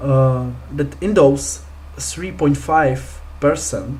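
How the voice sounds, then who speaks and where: The speaker has a non-native accent. Noticeable background noise runs underneath. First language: not English. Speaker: crypto investing youtuber. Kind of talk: screen-share tutorial. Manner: hesitant, many fillers.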